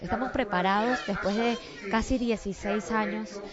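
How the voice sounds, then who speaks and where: A woman is speaking, and noticeable background noise can be heard behind her. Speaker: news host. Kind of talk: interview.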